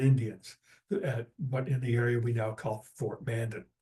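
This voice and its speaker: A man speaks at a medium pitch and a fairly slow pace. His tone is dark, mellow and somewhat breathy, with fairly even intonation. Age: 70s. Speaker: naturalist presenter. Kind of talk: lecture. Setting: video call.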